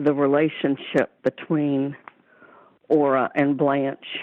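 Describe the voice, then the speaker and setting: With a Southern US accent, a woman talks at a fairly slow pace in a very deep, low pitch. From Florida, Leesburg area. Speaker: author. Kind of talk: interview. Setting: Skype and phone call.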